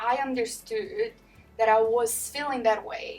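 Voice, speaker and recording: Music plays in the background as a woman talks at a high pitch. Her pace is very slow. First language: not English. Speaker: manager. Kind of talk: interview.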